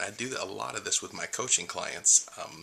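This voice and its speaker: A man speaks at a moderate pace while noticeable noise carries on in the background. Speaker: life and spiritual coach. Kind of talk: video blog talk to camera. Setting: home recording late at night. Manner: quiet, held down to not wake others; usually loud.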